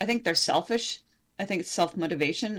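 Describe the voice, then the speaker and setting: A woman talks in an unremarkable speaking voice at medium pitch with ordinary pitch variation. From Canada. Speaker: independent journalist. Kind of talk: interview conversation.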